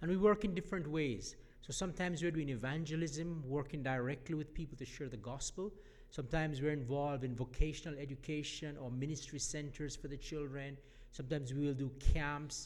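There is audible room echo around a man's fairly high-pitched voice. He speaks at a moderate pace with ordinary pitch variation. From Jamaica. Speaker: mission organization leader. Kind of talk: church address. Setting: church.

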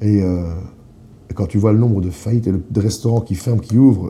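A man talks at a moderate pace with a fairly low pitch and ordinary pitch variation. His tone is dark and mellow, and somewhat breathy. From eastern Belgium, near the German border. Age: 30s. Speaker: sommelier. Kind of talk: casual interview. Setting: restaurant office.

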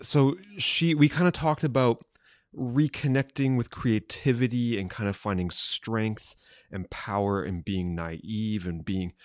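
Recorded very cleanly with a silent background and a dry, close sound with no echo, a man uses a normal speaking voice, moderate pace, and lively intonation. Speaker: podcast co-host interviewer. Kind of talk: casual interview.

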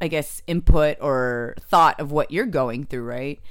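With a Californian accent, a woman speaks in a very deep, low voice and fairly even intonation. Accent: Californian American. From San Jose, California. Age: 30s. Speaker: comedian. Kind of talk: casual chat.

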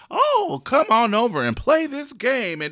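At a fairly slow pace, a man uses a put-on character voice pitched extremely high. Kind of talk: Disney-style code-switch voice. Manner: cheery, inviting.

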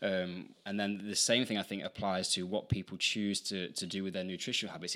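A man's bright, sharp-toned voice at a fairly quick pace. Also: very clean recording, silent background. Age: 30s. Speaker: calisthenics coach and podcast host. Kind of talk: casual chat.

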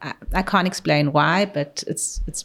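Someone with a South African accent speaks on a very clean recording with a silent background. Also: woman. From South Africa (Pretoria), moved to Israel as a teen. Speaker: oncologist. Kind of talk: interview conversation.

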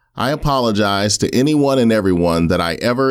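A man with an unremarkable speaking voice, fairly low in pitch, talking at a fairly quick pace with lively intonation. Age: 40s. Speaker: podcast host. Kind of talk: solo monologue commentary.

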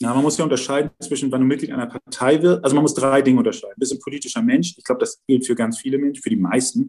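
A man with a fairly high voice talks at a very fast clip. His intonation is lively, and he hardly pauses at all. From Hamburg-Wilhelmsburg, northern Germany. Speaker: member of parliament. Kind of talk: interview. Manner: hesitant, many fillers and repetitions.

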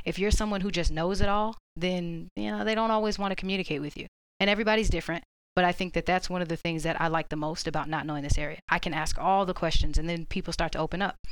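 A woman with an American accent talks at a very fast pace in a fairly low voice with ordinary pitch variation. The recording is very clean, with a silent background. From Orlando, Florida. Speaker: Marine recruiter. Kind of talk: casual panel discussion.

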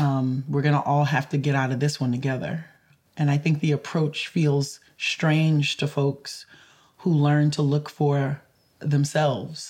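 At a fairly slow pace, a woman speaks in a very deep, low pitch, her loudness very even and her intonation monotone and flat. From rural Louisiana creole community. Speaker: climate justice lawyer and advocate. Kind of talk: interview conversation. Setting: in Boston.

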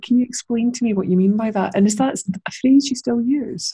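A woman with a Scottish accent speaks at a fairly quick pace in a dark, mellow tone that is somewhat breathy. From Scotland. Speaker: podcast host. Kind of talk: casual interview chat.

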